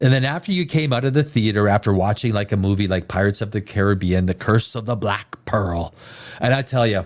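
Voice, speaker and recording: A normal speaking voice from a man, fairly low in pitch and fairly quick, with ordinary pitch variation on a very clean recording with a silent background. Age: 50s. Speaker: live stream host reviewing movie trailers. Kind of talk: casual live reaction chat.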